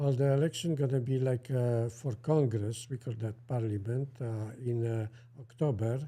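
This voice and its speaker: With a strong Polish accent, a man talks at a moderate pace and medium pitch. His intonation is fairly even. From central Poland. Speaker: co-host. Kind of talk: casual chat. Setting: livestream. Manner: halting.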